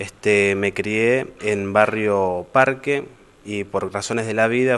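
A man talks in a Rioplatense accent at a fairly low pitch. His intonation is fairly even. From Argentina, Moreno (Buenos Aires province); Buenos Aires province, Argentina. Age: 30s. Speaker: local political candidate; candidate. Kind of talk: interview. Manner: halting, many fillers. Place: studio. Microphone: handheld.

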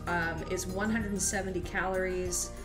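Over clear background music, a woman speaks very slowly with fairly even intonation. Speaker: home vlogger. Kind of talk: casual grocery haul chat. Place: kitchen. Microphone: phone near.

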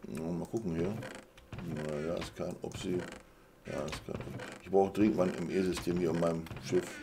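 A man speaks with a very deep, low voice. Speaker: gaming live streamer. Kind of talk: casual gameplay commentary. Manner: casual, chatty.

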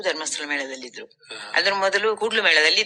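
Noticeable background noise is present. Over it, a woman talks with a fairly low pitch. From Kasaragod, Kerala (Tulu Nadu coast). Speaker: yakshagana singer. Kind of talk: radio interview.

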